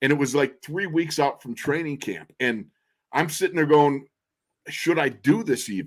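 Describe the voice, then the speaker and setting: In a very clean recording with a silent background, a man with a plain, everyday voice talks at a moderate pace, his pitch fairly high and his pitch variation ordinary. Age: 60s. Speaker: former NFL guard, radio color analyst. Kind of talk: casual chat. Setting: podcast interview.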